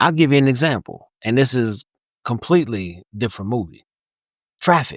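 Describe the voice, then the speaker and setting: Against a quiet background, a man speaks in an animated tone at a moderate pace and medium pitch, with lively intonation and long, frequent pauses. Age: 50s. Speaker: podcast co-host. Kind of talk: casual chat.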